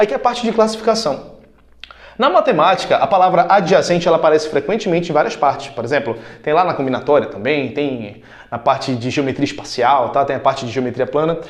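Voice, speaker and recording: With lively intonation, a man talks at a fairly high pitch in a room with audible echo. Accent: Brazilian. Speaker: math teacher. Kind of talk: lecture. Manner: fast; casual.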